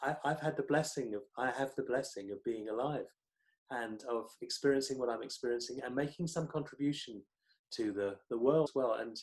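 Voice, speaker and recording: With a British accent, a man talks at a fairly quick pace and ordinary pitch variation. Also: medium pitch for a man. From Britain. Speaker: psychotherapist and author. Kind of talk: interview. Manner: halting, many repetitions.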